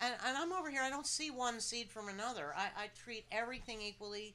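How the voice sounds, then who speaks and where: Noticeable background noise runs under a woman speaking with an American accent. She moves at a fairly quick pace with ordinary pitch variation. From New Jersey. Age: 60s. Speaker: cannabis activist. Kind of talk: casual panel discussion. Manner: animated.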